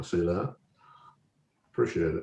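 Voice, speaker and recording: This man speaks. He has an Alabama accent. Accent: Southern US (Alabama). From US South, Alabama. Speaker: website founder and scale modeller presenter. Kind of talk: online presentation Q&A. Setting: video call.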